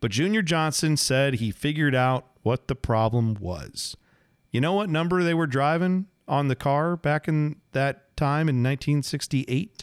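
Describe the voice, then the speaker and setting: A man speaks in an unremarkable speaking voice, fairly high in pitch with ordinary pitch variation, at a fairly slow pace. His loudness stays very even, and the sound is dry and close with no echo. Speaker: podcast host and motorsports historian. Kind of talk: podcast narration and conversation about racing history.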